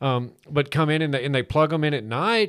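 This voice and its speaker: On a very clean recording with a silent background, a man with an unremarkable speaking voice talks at a moderate pace, his pitch fairly high and its variation ordinary. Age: 50s. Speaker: radio car show host. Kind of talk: casual chat. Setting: studio.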